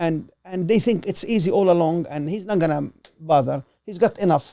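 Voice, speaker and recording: A Levantine accent at a moderate pace. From Lebanon, Palestinian refugee. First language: Arabic. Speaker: host's father. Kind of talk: casual interview. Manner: halting.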